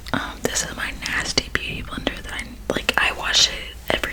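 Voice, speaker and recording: A woman whispers at a moderate pace while noticeable noise carries on in the background. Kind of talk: ASMR makeup bag talk. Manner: whispered; casual, chatty.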